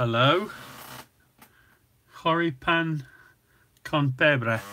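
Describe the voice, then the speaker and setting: The voice has a bright, sharp tone and an English Midlands accent. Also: man, fairly high pitch for a man, ordinary pitch variation. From England, Nottingham. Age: 60s. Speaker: cooking channel host. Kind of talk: casual chat. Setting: live stream.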